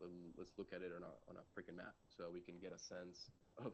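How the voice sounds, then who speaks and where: With a Spanish accent, this man keeps to a moderate pace. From Colombia. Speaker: data strategist, conference speaker. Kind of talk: presentation talk; Q&A answer about career.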